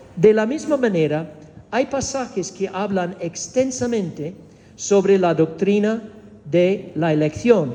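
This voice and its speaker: With a Spanish accent, a man speaks at a high pitch. His intonation is lively. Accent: Spanish of Spain. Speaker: preacher teaching doctrine. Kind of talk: doctrinal teaching sermon. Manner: engages audience with questions; hesitant, with fillers and repetitions.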